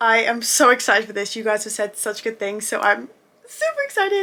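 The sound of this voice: The voice has a bright, sharp tone, big pitch swings and a moderate pace. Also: woman.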